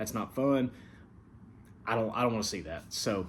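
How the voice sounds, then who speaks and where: Amid audible room echo, a man talks at a very fast pace in a medium pitch with ordinary pitch variation. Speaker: online gaming league commissioner and show host. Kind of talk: casual recap talk. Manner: casual, many fillers.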